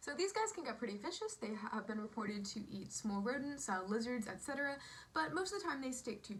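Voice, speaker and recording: Very fast speech in an American accent swings very widely in pitch. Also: woman. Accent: switches between British and American. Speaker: entomology video host. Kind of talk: educational vlog narration.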